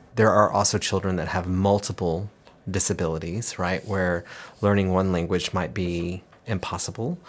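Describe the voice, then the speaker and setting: At a fairly slow pace, a man talks in a very deep, low voice. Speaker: cochlear implant company manager, former school principal and hearing specialist. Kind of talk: interview conversation.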